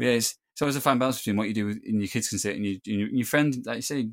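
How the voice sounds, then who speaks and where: In a very clean recording with a silent background, a man with a northern English accent speaks at a very fast pace, his medium pitch kept to fairly even intonation. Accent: northern English (Greater Manchester). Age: 30s. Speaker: filmmaker, composer and Parkinson's advocate. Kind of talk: casual interview chat.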